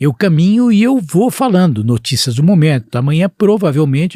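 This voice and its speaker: A man speaks at a fairly quick pace in a high voice with very wide pitch swings, recorded very cleanly against a silent background with a dry, close sound and no echo. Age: 60s. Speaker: physician and healthcare executive. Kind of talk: podcast interview.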